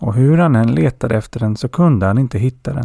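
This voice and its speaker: A man talks at a medium pitch and moderate pace with lively intonation and a dark, mellow tone. The recording is very clean, with a silent background. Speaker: podcast host and folk tale narrator. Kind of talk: folk tale narration, storytelling read aloud. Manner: enthusiastic and friendly when introducing.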